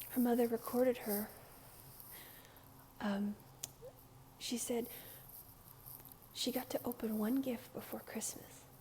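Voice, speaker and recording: Soft-spoken and high-pitched, a woman talks in a calm, relaxed tone. Her intonation is fairly even. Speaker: ASMR creator. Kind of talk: casual soft-spoken ramble to camera. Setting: recorded at home with street noise outside. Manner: soft-spoken, calm, relaxed.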